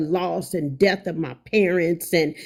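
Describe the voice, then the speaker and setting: On a very clean recording with a silent background, the speaker talks at a fairly slow pace with fairly even intonation. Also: woman. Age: 50s. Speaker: livestreamer. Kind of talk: angry livestream rant. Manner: emphatic, repetitive.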